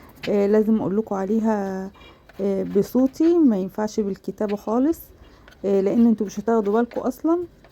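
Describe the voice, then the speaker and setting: A woman with a fairly high pitch and a dark, mellow tone. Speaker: cooking channel host. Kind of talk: cooking tutorial. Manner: casual, many fillers.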